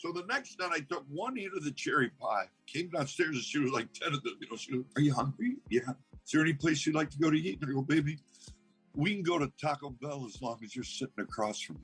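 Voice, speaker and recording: Over background music, a man with a fairly high pitch talks at a very fast pace, his intonation lively and his loudness swinging widely. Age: 60s. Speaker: actor and cannabis farmer. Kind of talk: interview answer. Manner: casual, anecdotal.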